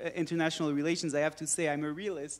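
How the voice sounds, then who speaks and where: A man's high-pitched voice with a French accent, on a very clean recording with a silent background. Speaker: politician. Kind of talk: panel discussion. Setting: conference with audience.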